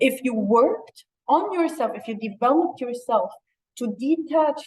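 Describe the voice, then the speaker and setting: This woman's intonation is lively. She talks at a high pitch. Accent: Arabic. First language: Arabic. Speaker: interview guest. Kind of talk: casual chat.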